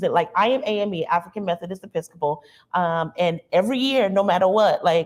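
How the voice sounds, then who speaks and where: Speaking with an American accent, a woman keeps a medium pitch and an ordinary amount of pitch variation. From US South, rural South Carolina near North Charleston. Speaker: university diversity administrator, panelist. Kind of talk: panel discussion. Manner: frequent fillers, conversational.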